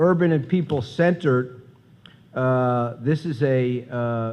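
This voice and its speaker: Audible room echo surrounds a man as he talks. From US Midwest, Chicago. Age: 60s. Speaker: professor, conference speaker. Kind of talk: conference talk. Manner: halting, many fillers.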